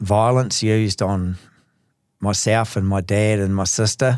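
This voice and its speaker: Speaking with a New Zealand accent, a man delivers his words at a fairly slow pace in a fairly low pitch, with monotone, flat intonation. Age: 60s. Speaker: recovering alcoholic, gardener and sausage maker. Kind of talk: personal testimony. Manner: halting.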